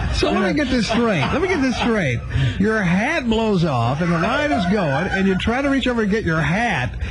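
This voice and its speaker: Very wide pitch swings and very even loudness at a moderate pace, over noticeable background noise. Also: man, high pitch for a man. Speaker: morning radio show host. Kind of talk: radio morning show banter, on-air phone call.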